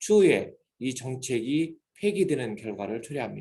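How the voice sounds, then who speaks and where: A man's fairly high, dark, mellow and somewhat breathy voice at a moderate pace, with very wide pitch swings. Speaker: graduate school professor. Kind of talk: lecture. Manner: formal.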